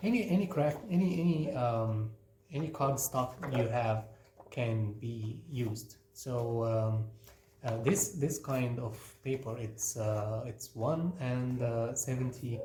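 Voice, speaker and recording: Speaking at a very slow pace with a non-native accent, a man is heard over noticeable background noise with audible room echo. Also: medium pitch for a man, ordinary pitch variation. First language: not English. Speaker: craft teacher. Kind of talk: tutorial. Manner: halting, many fillers.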